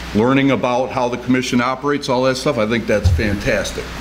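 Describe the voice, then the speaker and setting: Music plays in the background as a man speaks at a medium pitch. He talks at a fairly quick pace with ordinary pitch variation. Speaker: HR director. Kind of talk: city council meeting.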